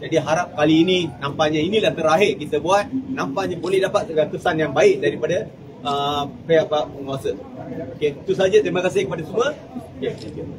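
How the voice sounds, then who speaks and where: A man talks at a high pitch and a fairly quick pace. Noticeable background noise can be heard. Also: ordinary pitch variation. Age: 60s. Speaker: scam victim giving testimony. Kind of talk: testimony. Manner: halting.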